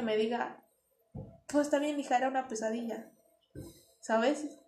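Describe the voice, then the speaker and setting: A woman's high-pitched voice with ordinary pitch variation and audible room echo. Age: 20s. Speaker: cancer patient. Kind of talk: interview testimony.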